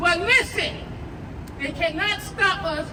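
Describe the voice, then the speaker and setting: Loud and at an extremely high pitch, a woman speaks at a fairly slow pace with ordinary pitch variation, with audible room echo and crowd noise in the background. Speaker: union local president. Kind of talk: rally speech. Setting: outdoor rally with crowd.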